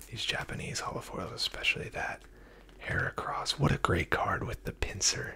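Noticeable background noise sits under a whisper delivered at a moderate pace. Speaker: card collector reviewer. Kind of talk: casual commentary. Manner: close ASMR whisper. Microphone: phone near.

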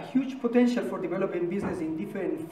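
A man speaks with ordinary pitch variation over light background noise. Room echo is audible. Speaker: presenter. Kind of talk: formal presentation speech. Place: meeting room. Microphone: camera far.

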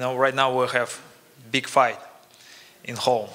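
The pace runs fairly slow. A man is speaking. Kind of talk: press conference speech. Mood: friendly, grateful. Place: hall. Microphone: podium.

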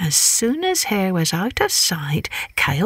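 What comes through is an unforced reading voice.

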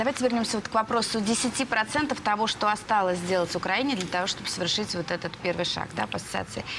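Amid noticeable background noise, a woman talks at a very fast pace with hardly any pauses and ordinary pitch variation. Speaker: TV news presenter. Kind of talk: news interview. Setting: studio. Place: studio. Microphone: lapel.

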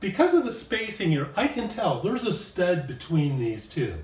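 At a fairly slow pace, a man speaks. Audible room echo and light background noise surround him. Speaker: presenter. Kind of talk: tutorial. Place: home room.

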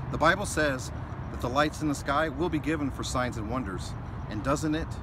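The speech moves at a fairly quick pace, dry with no echo, amid noticeable background noise. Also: man. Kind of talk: devotional talk to camera. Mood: warm, festive, earnest. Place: street. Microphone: phone near.

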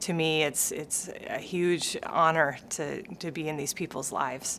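Over light background noise, a woman with an American accent speaks at a fairly slow pace in a very deep, low voice with fairly even intonation. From Minnesota. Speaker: sports medicine physician. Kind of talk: interview answer. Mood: warm, friendly. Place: office.

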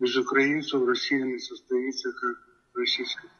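A man with a Ukrainian accent at a fairly slow pace over a quiet background. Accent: Ukrainian-accented Russian. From Ukraine. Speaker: elderly passerby. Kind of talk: casual street interview. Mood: earnest, persuasive. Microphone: video call.

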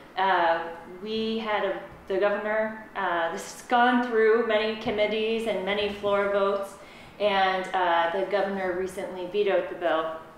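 In a room with audible echo and light background noise, a woman speaks at a fairly slow pace with monotone, flat intonation and big swings in loudness. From Vermont. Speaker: state legislator; panel discussion leader. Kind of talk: panel discussion. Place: classroom.

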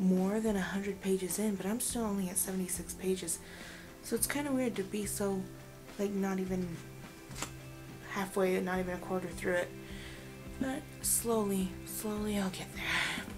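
A woman speaks at a fairly slow pace with fairly even intonation, leaving long, frequent pauses. Music plays in the background. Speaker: book vlogger. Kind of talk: casual vlog chat. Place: home room. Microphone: phone near.

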